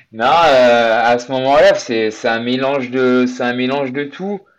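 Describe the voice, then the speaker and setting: Against a quiet background, a man with an unremarkable speaking voice talks at a medium pitch with ordinary pitch variation. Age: 30s. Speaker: amateur endurance athlete. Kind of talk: interview.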